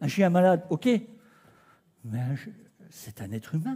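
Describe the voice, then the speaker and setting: A man with a dark, mellow tone speaks at a fairly slow pace with very wide pitch swings. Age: 60s. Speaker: preacher. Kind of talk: sermon. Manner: animated.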